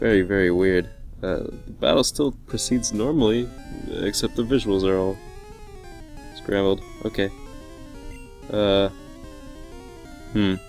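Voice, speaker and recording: With music playing in the background, a man with a fairly low pitch and ordinary pitch variation speaks at a fairly slow pace, leaving long, frequent pauses. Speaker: video game streamer. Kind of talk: casual gameplay commentary.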